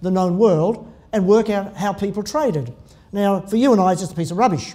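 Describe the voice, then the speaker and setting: With an Australian accent, a man speaks in a high voice with a dark, mellow tone. His intonation is lively. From Tasmania, Australia. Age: 60s. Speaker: pastor. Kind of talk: sermon. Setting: church. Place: church. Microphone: podium.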